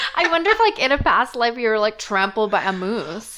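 This woman talks at a fairly quick speed and a fairly high pitch, with noticeable background noise around her. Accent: Canadian. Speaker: podcast host.

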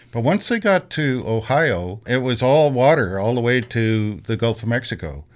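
Against a quiet background, a man with a Canadian accent talks at a moderate pace with hardly any pauses, in a normal speaking voice of medium pitch and lively intonation. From Canada, Kingston area, Ontario. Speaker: PhD student in history. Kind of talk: interview.

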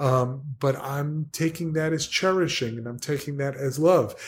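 Somewhat breathy, a man with a fairly high pitch speaks in an American accent with ordinary pitch variation. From New Jersey. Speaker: podcast guest. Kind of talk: casual chat.

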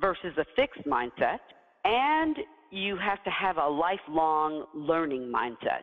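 In an American accent, a woman with a plain, everyday voice talks at a fairly low pitch with lively intonation. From US South. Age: 50s. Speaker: CEO and leadership coach. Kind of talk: interview. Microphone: poor audio.

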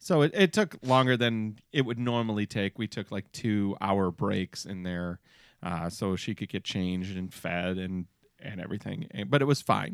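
In a very clean recording with a silent background, a man with an American accent talks at a moderate pace in a plain, everyday voice with ordinary pitch variation. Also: fairly low pitch for a man. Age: 40s. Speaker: podcast host. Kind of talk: casual chat. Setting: studio.

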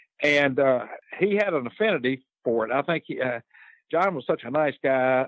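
Speaking fairly quickly with lively intonation, a man talks in a Southern US accent. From North Carolina, Lexington. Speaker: judge and former lawyer. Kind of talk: interview.

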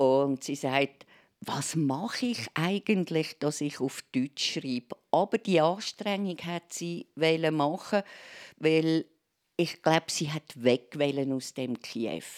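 A woman with a very deep, low pitch and lively intonation speaks at a very slow pace, the dry, close sound carrying no echo on a very clean recording with a silent background. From Switzerland, Aargau (Endingen). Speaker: arts journalist. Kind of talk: casual interview. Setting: live radio in a library.

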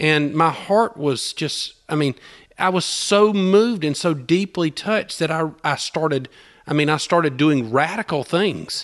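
With ordinary pitch variation, the speaker talks at a fairly slow speed. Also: man, fairly high pitch for a man. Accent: Southern US. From US South, southern Georgia. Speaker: small-town revitalizer, business owner. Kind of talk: testimony interview. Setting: in person in Opelika.

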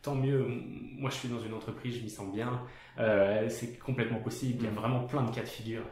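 A man of medium pitch with fairly even intonation at a fairly quick pace, with noticeable background noise and audible room echo. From France. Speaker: podcast host, designer. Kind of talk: casual interview. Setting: guest's studio office.

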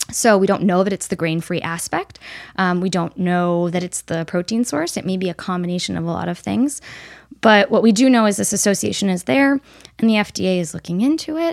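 On a very clean recording with a silent background, a woman uses a normal speaking voice. Her pitch is medium and her intonation lively. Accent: American. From upstate New York. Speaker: veterinary nutritionist. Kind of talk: casual interview.

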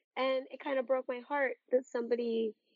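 A woman's high-pitched voice at a moderate pace. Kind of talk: casual chat.

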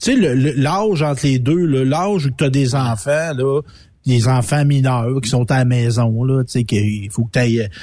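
A somewhat breathy male voice at medium pitch, with ordinary pitch variation. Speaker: radio co-host. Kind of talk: casual chat.

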